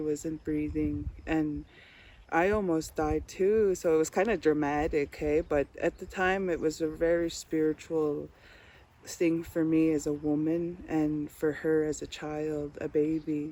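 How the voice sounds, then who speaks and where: Her voice is very deep and low-pitched, with a dark, mellow tone, and she speaks at a fairly slow pace. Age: 30s. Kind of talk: personal storytelling interview. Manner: hesitant, with fillers.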